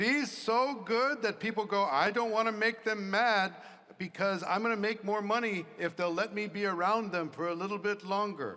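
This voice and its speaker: In a raised, projected voice with a bright, sharp tone, a man speaks at a moderate pace and high pitch. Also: ordinary pitch variation. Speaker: business leader speaking to salespeople. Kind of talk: motivational talk with Q&A.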